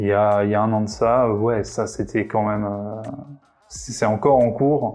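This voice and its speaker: A man's fairly low voice at a fairly slow pace, with fairly even intonation and noticeable background noise. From Réunion. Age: 30s. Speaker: web developer. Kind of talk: interview answers. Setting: coworking space. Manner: hesitant, many fillers.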